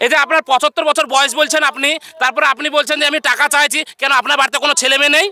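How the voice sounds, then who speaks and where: An extremely high-pitched man's raised, projected voice with very even loudness and monotone, flat intonation. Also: dry, close sound with no echo. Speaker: street video host. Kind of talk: casual talk to camera.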